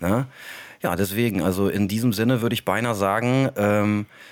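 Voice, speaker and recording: Speaking with a plain, everyday voice, a man keeps a fairly low pitch and fairly even intonation. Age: 30s. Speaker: podcast host and elderly care worker. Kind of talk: casual chat.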